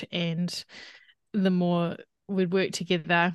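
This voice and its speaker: Monotone, flat delivery with a New Zealand accent, in a dry, close sound with no echo and a quiet background. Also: woman. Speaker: dietitian. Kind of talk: interview conversation.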